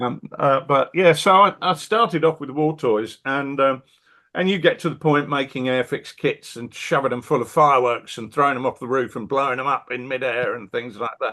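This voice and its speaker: At a moderate pace, a man talks in a fairly high voice with a British accent. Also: ordinary pitch variation. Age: 60s. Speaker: wargame designer and publisher. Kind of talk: casual interview chat.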